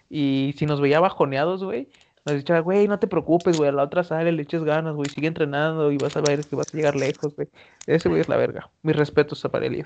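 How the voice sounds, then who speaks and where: In a normal speaking voice, a man talks at a fairly quick pace with fairly high pitch and fairly even intonation. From Mexico, Veracruz. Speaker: podcast co-host. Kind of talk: casual chat.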